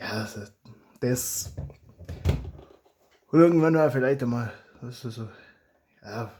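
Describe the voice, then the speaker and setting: With a Swabian accent, a man of medium pitch and a dark, mellow tone talks at a fairly slow pace with ordinary pitch variation. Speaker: hobby blaster modder and YouTuber. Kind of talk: casual talk to camera.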